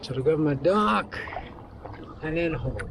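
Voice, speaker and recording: Against noticeable background noise, a man talks in a fairly high pitch. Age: 60s. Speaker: wilderness canoe vlogger. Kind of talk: casual talk to camera outdoors; travel vlog narration. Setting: outdoors on a river.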